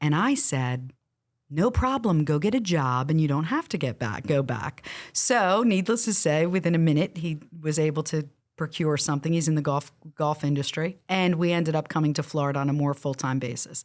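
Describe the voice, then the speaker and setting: On a very clean recording with a silent background, a woman with a New Jersey accent talks fairly quickly in a very deep, low voice, her intonation lively and her loudness very even. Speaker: real estate coach. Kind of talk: interview. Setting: studio.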